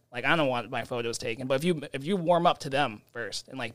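This man talks very fast at a medium pitch. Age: 20s. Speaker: nightlife photographer. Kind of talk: casual chat.

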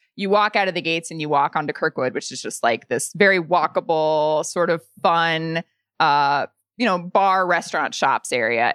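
In an unremarkable speaking voice with an American accent, the speaker goes at a moderate pace with ordinary pitch variation, the sound dry and close with no echo on a very clean recording with a silent background. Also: woman. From Indiana, US Midwest. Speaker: podcast host, guest. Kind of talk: casual chat.

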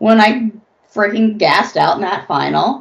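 A woman speaks with an American accent and vocal fry. Her pitch swings very widely. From Los Angeles, US. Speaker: therapist and former reality TV contestant. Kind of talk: casual interview.

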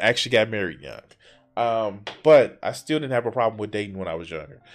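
With music behind him, a man speaks in a lively intonation. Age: 40s. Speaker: YouTube commentator. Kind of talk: reaction commentary.

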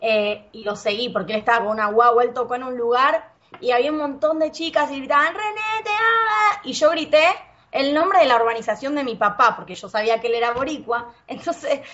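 A high-pitched woman's animated voice at a fairly quick pace, with very wide pitch swings, big swings in loudness and noticeable background noise. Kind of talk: casual chat.

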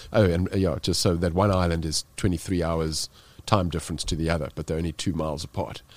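A man with a very deep, low voice in a South African accent, very fast, on a very clean recording with a silent background. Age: 40s. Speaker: extreme cold-water swimmer and speaker. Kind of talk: podcast interview. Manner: animated storytelling, frequent fillers.

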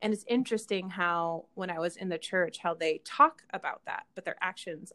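A woman with an American accent speaks at a medium pitch and fairly quick pace. It is an ordinary speaking voice. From Utah, Kaysville. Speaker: actress and activist. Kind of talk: casual interview.

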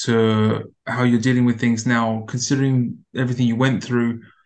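A man's medium-pitched voice with a British accent. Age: 30s. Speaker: podcast host. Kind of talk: interview.

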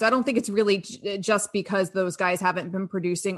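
Talking at a very fast pace, a woman with an American accent has a bright, sharp tone and ordinary pitch variation. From Florida, Sarasota. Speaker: sports radio host and card market analyst. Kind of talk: casual interview.

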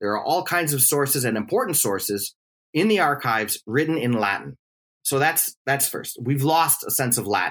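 At a fairly quick pace, a man with a plain, everyday voice, an American accent, a fairly high pitch and lively intonation is heard on a very clean recording with a silent background. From US Midwest, Milwaukee, Wisconsin. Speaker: history professor. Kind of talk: interview.

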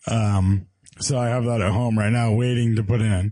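A man's dark, mellow, medium-pitched voice at a fairly slow pace with fairly even intonation. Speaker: car podcast co-host. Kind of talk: casual chat.

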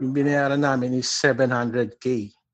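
Very slow delivery from a man with a medium-pitched voice. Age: 40s. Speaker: caller. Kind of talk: phone-in question.

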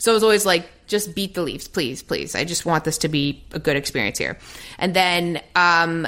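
A woman with a Canadian accent talks at a moderate pace in a plain, everyday voice, with ordinary pitch variation. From Toronto, Canada. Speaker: sports broadcaster. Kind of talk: casual chat.

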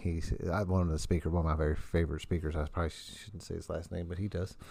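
In an American accent, a man talks with a dark, mellow tone and ordinary pitch variation. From US Midwest (southern Indiana). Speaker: podcast host, recovering addict. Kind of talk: casual chat. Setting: home studio in wood shop. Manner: animated.

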